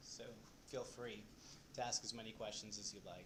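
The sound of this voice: A man talks at a fairly quick pace. He is soft-spoken, with a fairly low pitch.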